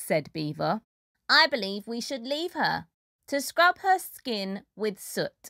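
Quiet surroundings behind a natural reading voice

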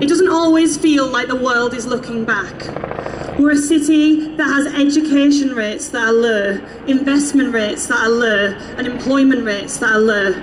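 Noticeable background noise sits behind this voice. The pace is moderate and the pitch varies in an ordinary way. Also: woman, high pitch for a woman. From East Yorkshire, near Hull. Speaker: youth activist. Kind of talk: rally speech. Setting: outdoor stage with crowd. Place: street.

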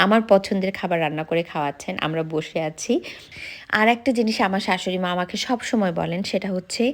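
A woman speaks in a plain, everyday voice. Her pitch is medium, with ordinary variation. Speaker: vlogger. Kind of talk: vlog narration. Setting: outdoors in a park.

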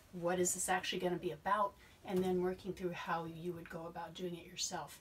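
Light background noise sits under a woman speaking at a moderate pace. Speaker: science educator. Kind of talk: explanatory talk to camera.

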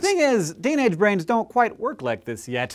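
A man speaks fairly quickly, the background quiet. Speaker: science educator. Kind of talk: educational science explainer. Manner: fast. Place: studio. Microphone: lapel.

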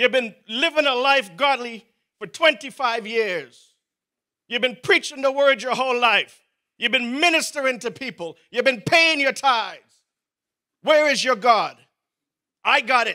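Raised and projected, a man's bright, sharp voice comes across animated at a fairly slow pace, with long, frequent pauses, ordinary pitch variation and a quiet background. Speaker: preacher. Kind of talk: sermon. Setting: church. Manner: animated, fervent preaching with rising emphasis and repeated exhortations; pleading, urgent prayer-like delivery with interjections of 'O oh God'. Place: church. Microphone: handheld.

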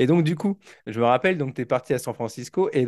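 Male speaker at a moderate pace with ordinary pitch variation against a quiet background. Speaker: teacher and podcast host. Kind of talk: casual interview. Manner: hesitant, lots of fillers.

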